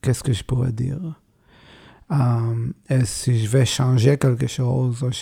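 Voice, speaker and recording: A man speaks at a medium pitch in a dark, mellow tone. His voice is somewhat breathy. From Israel. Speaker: bandoneon player. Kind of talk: interview. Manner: halting.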